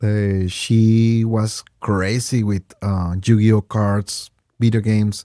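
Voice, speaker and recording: Speaking at a very slow pace, a man with a medium pitch talks in a Mexican accent. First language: Spanish. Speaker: game store owner, guest. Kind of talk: casual chat. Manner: halting.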